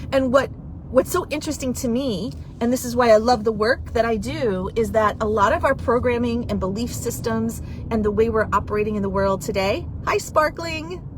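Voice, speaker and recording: A woman with a fairly high voice speaks at a moderate pace, her animated tone and lively intonation set against noticeable background noise. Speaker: divorce coach. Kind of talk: live video chat.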